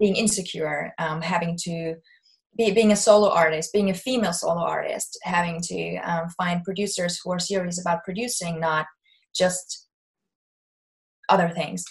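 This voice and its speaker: A woman's somewhat breathy, fairly low voice with a German accent, fairly even intonation and a moderate pace. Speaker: singer-songwriter. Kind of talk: interview.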